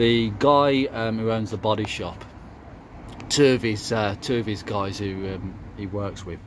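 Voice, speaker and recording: A man with a Birmingham accent speaks at a very slow pace, leaving long, frequent pauses. His pitch is fairly low and his intonation fairly even. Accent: Brummie. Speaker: car hobbyist YouTuber. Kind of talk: casual vlog walkaround. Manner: hesitant, many fillers.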